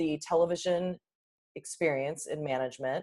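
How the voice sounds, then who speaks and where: Fairly low for a woman, hers is an ordinary speaking voice with ordinary pitch variation. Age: 40s. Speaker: media trainer and public speaking coach. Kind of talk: casual chat.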